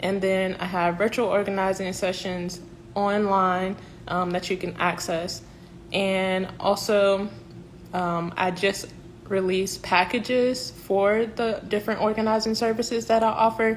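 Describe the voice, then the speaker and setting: Her pace fairly slow, a woman with a Southern US accent speaks at a medium pitch with fairly even intonation. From South Carolina (Columbia). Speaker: professional organizer. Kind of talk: livestream announcement. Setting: Instagram live stream.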